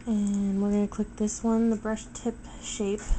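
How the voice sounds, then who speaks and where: At a very slow pace, a woman speaks at medium pitch in a monotone, flat way. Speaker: photo editing tutorial maker. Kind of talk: tutorial. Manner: casual, hesitant with um.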